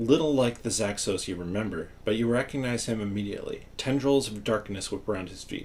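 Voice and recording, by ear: Ordinary pitch variation comes through as someone reads aloud in a natural voice.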